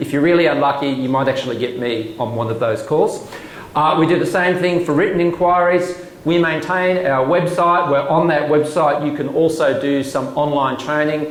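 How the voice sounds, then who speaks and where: Over noticeable background noise and audible room echo, the voice shows ordinary pitch variation. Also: man, fairly high pitch for a man. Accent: Australian. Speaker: government commissioner. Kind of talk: presentation. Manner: fast.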